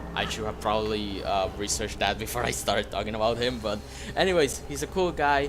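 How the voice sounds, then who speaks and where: Over noticeable background noise and audible room echo, a man talks at a fairly quick pace with very wide pitch swings. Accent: non-native. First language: not English. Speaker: gaming YouTuber. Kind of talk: gameplay commentary outro. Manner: hesitant, many fillers.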